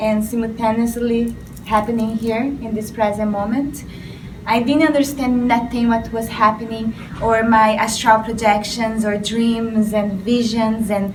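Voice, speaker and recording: Speaking slowly at a fairly high pitch, a woman keeps a monotone, flat intonation amid noticeable background noise and audible room echo. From Brazil. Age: young. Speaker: spiritual artist. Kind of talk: interview.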